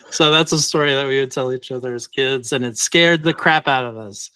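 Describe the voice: Simply plain reading aloud.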